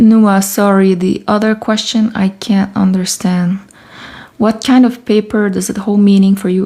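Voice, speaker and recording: In a French Canadian accent, the voice has a soothing, dark and mellow tone, somewhat breathy, delivered at a moderate pace in a flat monotone. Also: woman. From Canada. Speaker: artist and writer. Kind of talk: live stream chat while working. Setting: home studio live stream.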